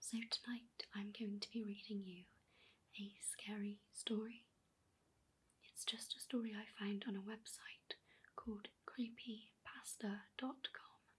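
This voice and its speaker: Soft-spoken delivery at a fairly slow pace. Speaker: ASMR storyteller. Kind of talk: casual introduction to viewers.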